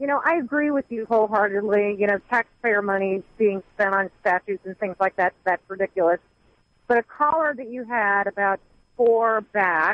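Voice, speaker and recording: A woman talks with an American accent at medium pitch. She has a normal speaking voice. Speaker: caller. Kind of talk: call-in talk radio. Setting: phone call.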